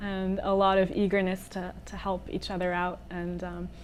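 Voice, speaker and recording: A woman at medium pitch speaks with a monotone, flat intonation at a fairly slow pace. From California, Palo Alto. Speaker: singer-songwriter. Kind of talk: interview. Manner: hesitant, many fillers.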